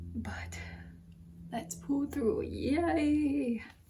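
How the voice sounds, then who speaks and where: There is audible room echo as the woman talks. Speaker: lifestyle vlogger and content creator. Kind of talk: casual vlog narration. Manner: slow. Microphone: soft audio, mic setting issues.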